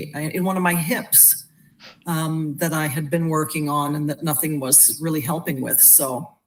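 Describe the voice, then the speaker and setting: Against noticeable background noise, a woman speaks at a moderate pace. Her pitch is very deep and low, with fairly even intonation. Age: 60s. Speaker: wellness product user sharing testimonial. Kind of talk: testimony. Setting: live video stream.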